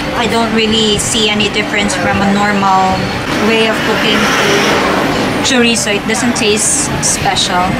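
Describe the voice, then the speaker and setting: Through loud background noise, a woman speaks at a fairly slow pace, leaving long, frequent pauses. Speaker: food vlogger. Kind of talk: casual vlog chat. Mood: mildly disappointed. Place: cafe. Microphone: phone near.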